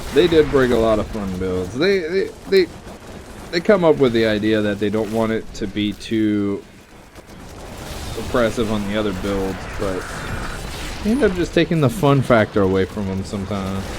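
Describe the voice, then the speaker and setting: With an American accent and lively intonation, a man talks at a moderate pace in a fairly low voice, taking long, frequent pauses. Noticeable background noise runs underneath. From US South, Louisiana. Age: 30s. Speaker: gaming streamer. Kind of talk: live gameplay commentary.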